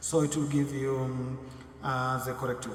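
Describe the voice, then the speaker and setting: A man talks at a moderate pace and medium pitch. There is noticeable background noise and audible room echo. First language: not English. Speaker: blogging tutorial youtuber. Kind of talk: tutorial. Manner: halting, many fillers.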